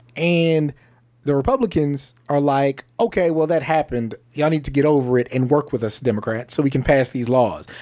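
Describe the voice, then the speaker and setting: Here a man speaks at a moderate pace. His tone is dark and mellow. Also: fairly high pitch for a man, ordinary pitch variation. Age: 30s. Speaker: podcast host. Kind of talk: casual chat.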